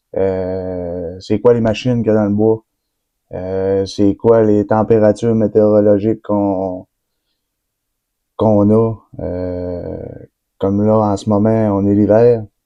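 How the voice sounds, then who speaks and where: Very slowly and with long, frequent pauses, a man speaks in a fairly low, flat monotone, his loudness swinging widely. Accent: Quebec. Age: 20s. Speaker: forestry worker. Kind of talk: casual vlog introduction. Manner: hesitant, many fillers.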